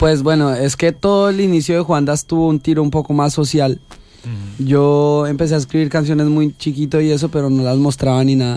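Fairly high male voice with a dark, mellow tone, fairly even intonation, very even loudness and a fairly quick pace. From Colombia, Cundinamarca. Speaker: singer-songwriter. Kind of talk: radio interview. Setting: small radio studio.

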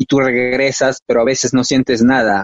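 A man speaks at a moderate pace in a normal speaking voice, medium in pitch with fairly even intonation. The sound is dry and close, with no echo. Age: 30s. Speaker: poet. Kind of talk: poetry reading. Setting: live-streamed on Facebook.

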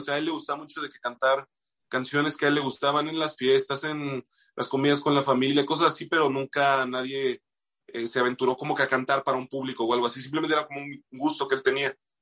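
In a Bajío Mexican accent, a man with a fairly high, bright and sharp voice speaks very fast with big swings in loudness. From Mexico, Moroleón, Guanajuato. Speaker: musician and radio announcer. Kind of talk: casual interview chat.

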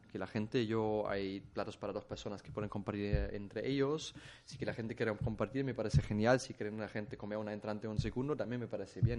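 A man with a German accent speaks at a medium pitch with ordinary pitch variation. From Germany. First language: German (speaking Spanish). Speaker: chef. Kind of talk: casual interview. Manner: halting.

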